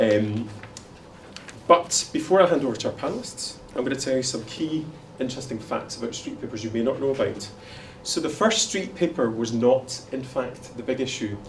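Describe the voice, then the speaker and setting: With a Glaswegian accent, a man speaks at a fairly quick pace and medium pitch, with ordinary pitch variation. Noticeable background noise and audible room echo fill the recording. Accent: Glaswegian Scottish. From Scotland, Glasgow. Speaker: panel moderator. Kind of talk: conference panel introduction. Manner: fast.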